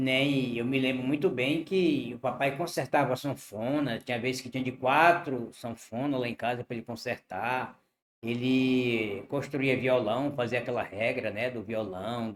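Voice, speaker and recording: A man talks in an ordinary speaking voice at a medium pitch with ordinary variation. His pace is fairly slow, with hardly any pauses. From Brazil, Piauí (Northeast). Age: 60s. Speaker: interviewee telling life story. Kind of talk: interview.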